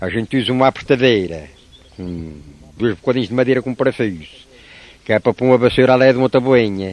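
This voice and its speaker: The voice moves at a very fast pace with ordinary pitch variation, in a dry, close sound with no echo. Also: man. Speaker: craftsman. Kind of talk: interview answer.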